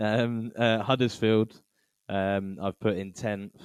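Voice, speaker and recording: Very slowly, a man speaks in an English accent. His intonation is a flat monotone. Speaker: football podcast host. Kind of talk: casual chat.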